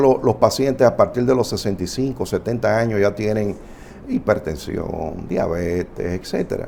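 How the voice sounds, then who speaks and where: Noticeable background noise sits under a lively, fairly slowly paced delivery. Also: man. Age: 60s. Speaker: family doctor. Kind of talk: health talk show interview.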